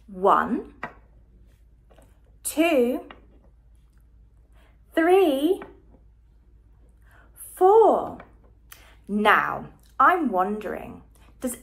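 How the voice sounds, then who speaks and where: A woman's very slow delivery, with very wide pitch swings and long, frequent pauses. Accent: British. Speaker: early years educator. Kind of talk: children's educational video. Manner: slow, gentle. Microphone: phone near.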